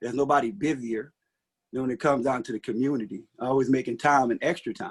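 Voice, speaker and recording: Fairly quick speech from a medium-pitched man with a Mississippi accent. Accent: Southern US (Mississippi). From US South, rural Mississippi. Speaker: city council candidate. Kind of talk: candidate forum speech. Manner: hesitant, many fillers.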